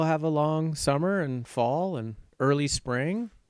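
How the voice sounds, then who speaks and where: On a very clean recording with a silent background, a man with an American accent and a plain, everyday voice talks at a fairly high pitch with ordinary pitch variation. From Richmond, Virginia. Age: 50s. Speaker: real estate agent. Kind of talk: casual interview.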